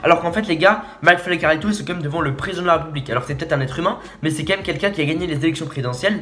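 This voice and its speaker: An animated tone from a man over noticeable background noise. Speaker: youtuber reacting to a video. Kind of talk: casual video commentary. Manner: stammering, halting; informal, animated.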